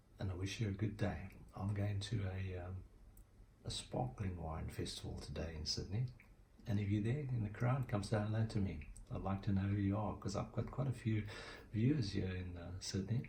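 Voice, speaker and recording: Somewhat breathy and dark, mellow in tone, a man with a fairly low pitch speaks in a South African accent at a moderate pace, showing ordinary pitch variation amid audible room echo. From South Africa, Cape Town. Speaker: guitar teacher. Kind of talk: tutorial; casual chat. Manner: halting.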